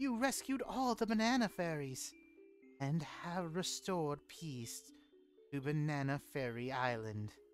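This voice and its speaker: A man puts on a character voice, pitched fairly high and fairly slow in pace, with clear music in the background. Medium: virtual streamer. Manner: warm, grateful, gentle.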